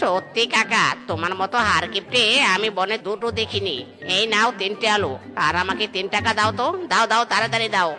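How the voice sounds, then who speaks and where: Over clear background music, a female-sounding cartoonish character voice speaks at medium pitch. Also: moderate pace. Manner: cheeky, quick.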